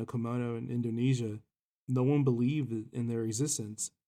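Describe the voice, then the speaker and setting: A man speaks with an American accent at a moderate pace. His voice is medium in pitch and dark and mellow in tone, with ordinary pitch variation. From South Texas, raised partly abroad (military family). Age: 30s. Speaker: podcast co-host. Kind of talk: casual chat. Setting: home recording. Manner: halting, repeats words.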